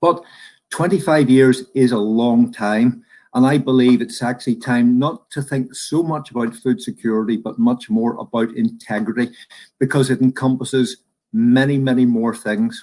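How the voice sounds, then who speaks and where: Medium in pitch, a man's dark, mellow voice keeps a moderate pace with ordinary pitch variation. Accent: Northern Irish. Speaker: professor, food supply expert. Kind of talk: presentation. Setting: virtual conference.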